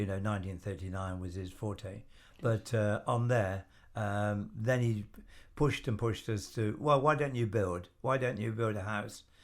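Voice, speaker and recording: Fairly low-pitched man with an English Midlands accent, moderate pace and ordinary pitch variation. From England, Stratford-upon-Avon, Warwickshire. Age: 80s+. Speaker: retired businessman and volunteer. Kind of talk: interview. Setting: studio. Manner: hesitant, many fillers.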